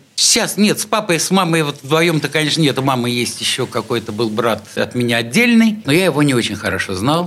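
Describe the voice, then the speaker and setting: Against noticeable background noise, a man speaks at a fairly quick pace with hardly any pauses, his fairly high pitch swinging very widely. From St Petersburg (Leningrad), Russia. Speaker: artist and musician. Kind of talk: radio interview. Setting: radio studio.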